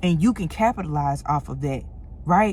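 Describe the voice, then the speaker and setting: In a St. Louis accent, a woman speaks with lively intonation and a somewhat breathy voice. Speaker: motivational content creator. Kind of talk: motivational talk to camera. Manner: casual, conversational.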